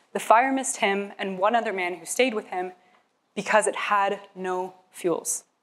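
Ordinary pitch variation in a woman's speech. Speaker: presenter. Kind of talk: prepared research talk. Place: hall. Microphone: lapel.

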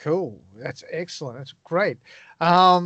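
Heard over a quiet background, a man with an Australian accent speaks in a dry sound with no echo. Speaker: radio DJ and podcast host; radio DJ, podcast host. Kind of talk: interview. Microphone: video call.

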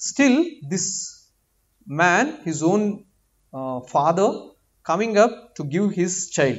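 Against a quiet background, a man with a high pitch speaks at a very slow pace with lively intonation and long, frequent pauses. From India, Andhra Pradesh. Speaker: doctor and guest preacher; guest preacher. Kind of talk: sermon. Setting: church. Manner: halting. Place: church. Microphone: podium.

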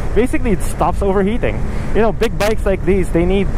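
The man's voice sits high in pitch and moves at a fairly quick pace. His dry, echo-free sound comes with noticeable background noise. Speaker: motorcycle rider vlogger. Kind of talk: casual vlog chat. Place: motorbike. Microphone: helmet.

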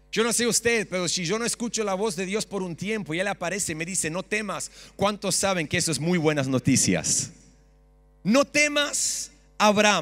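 With lively intonation, this man's high voice keeps to a moderate tempo. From Australia (Sydney). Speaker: pastor. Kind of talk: sermon. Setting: church stage with audience. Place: church. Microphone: handheld.

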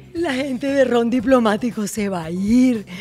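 Faint music plays in the background. A woman speaks with lively intonation at a fairly high pitch. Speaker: podcast host. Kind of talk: casual podcast conversation. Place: shop. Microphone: studio mic.

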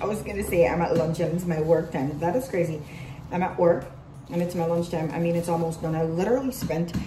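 Ordinary pitch variation in very fast speech, with noticeable background noise behind it. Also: woman, fairly low pitch for a woman. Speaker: vlogger. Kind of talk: casual vlog chat. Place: office. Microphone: phone near.

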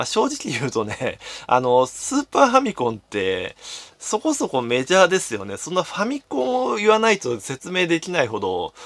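With a quiet background, a man speaks at a moderate pace. His pitch swings very widely and his loudness shifts a lot. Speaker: game collector YouTuber. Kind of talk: solo commentary video. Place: home room. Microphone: phone near.

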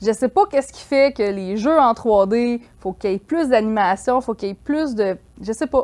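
A woman with a fairly high pitch and ordinary pitch variation talks at a moderate pace against a quiet background. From Quebec. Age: 30s. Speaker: freelance graphic artist; interview guest. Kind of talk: casual chat. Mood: relaxed, smiling, animated. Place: studio.

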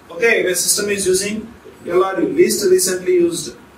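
A man speaks in a raised, projected voice at a fairly slow pace with ordinary pitch variation, audible room echo and light background noise. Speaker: teacher. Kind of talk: lecture. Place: classroom.

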